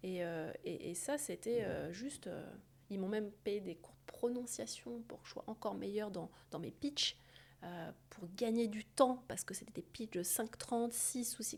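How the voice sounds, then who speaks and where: A woman with a fairly high pitch speaks at a fairly slow pace. Her loudness swings widely, and her pitch varies in an ordinary way. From France. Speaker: surgeon and entrepreneur. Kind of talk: interview conversation. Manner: hesitant, many fillers and repetitions.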